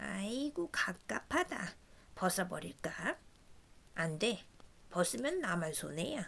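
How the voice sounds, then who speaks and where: Using a put-on character voice at medium pitch, a woman speaks at a fairly slow pace with long, frequent pauses. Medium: read story.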